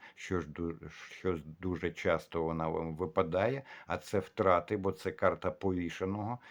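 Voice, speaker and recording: In a very deep, low voice, a man speaks at a moderate pace with ordinary pitch variation against a quiet background. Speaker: tarot reader. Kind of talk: tarot forecast monologue with reading aloud.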